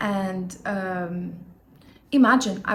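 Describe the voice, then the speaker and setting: A somewhat breathy woman with a Lebanese accent, with audible room echo. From Lebanon. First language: not English (English is third language). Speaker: YouTuber, self-help vlogger. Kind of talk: casual vlog monologue. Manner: occasional hesitations and fillers.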